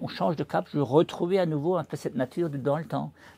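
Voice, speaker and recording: Speaking at a fairly quick pace, a man with a fairly high pitch has a dark, mellow tone and vocal fry. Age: 60s. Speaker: livestock farmer. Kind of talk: interview.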